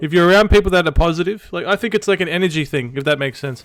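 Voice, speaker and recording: Rushing at a very fast pace, a man speaks at a high pitch with an Australian accent. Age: 20s. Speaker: streamer. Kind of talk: casual chat. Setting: live stream.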